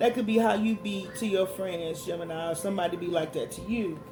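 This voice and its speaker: Music plays in the background, and audible room echo can be heard. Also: man. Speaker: tarot reader. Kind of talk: tarot reading. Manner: loud.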